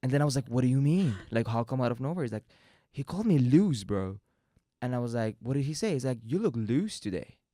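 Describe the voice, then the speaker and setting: With music in the background, a man with a Persian accent talks at a very fast pace in a medium pitch, with lively intonation. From Iran. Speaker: podcast host. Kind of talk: casual chat.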